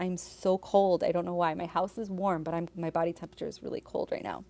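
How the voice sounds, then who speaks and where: A woman's put-on character voice, raspy and fairly low in pitch, monotone and flat, very fast, with big swings in loudness. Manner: shaky voice, puzzled about being cold.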